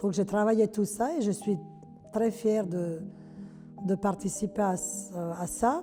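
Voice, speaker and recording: With a Yugoslav accent, a woman speaks at a very slow pace with long, frequent pauses, a medium pitch and ordinary pitch variation, music playing in the background. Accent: sing-song Yugoslav accent in French. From former Yugoslavia. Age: 70s. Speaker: retired hairdresser, amateur theatre actor. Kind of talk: campaign testimonial interview. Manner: outspoken; hesitant, conversational.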